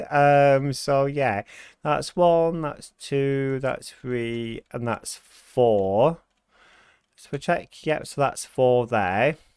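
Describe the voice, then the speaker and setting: A man with a British accent and a fairly high pitch talks at a very slow pace, with ordinary pitch variation and big swings in loudness. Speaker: gaming YouTuber. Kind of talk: gameplay commentary. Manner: hesitant with many fillers.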